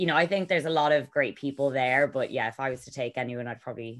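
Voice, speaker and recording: Speaking with an Irish accent at a very fast pace, the voice shows ordinary pitch variation and big swings in loudness on a very clean recording with a silent background. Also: woman. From Ireland. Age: 30s. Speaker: yacht crew member and reality TV cast member. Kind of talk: podcast interview.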